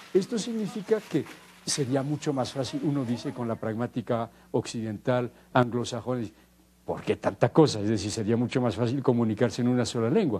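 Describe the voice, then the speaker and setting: A man at medium pitch with a dark, mellow tone, ordinary pitch variation and a fairly quick pace. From French Basque Country. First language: Basque (speaking Spanish). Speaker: linguist. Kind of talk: interview. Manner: halting, with frequent repetitions.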